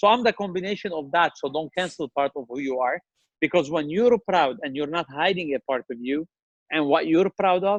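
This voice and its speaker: A man with a strong Lebanese accent speaks at a fairly quick pace in a passionate tone, his high pitch moving with ordinary variation, the sound dry and close with no echo against a quiet background. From Lebanon. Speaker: restaurant chain CEO. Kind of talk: interview.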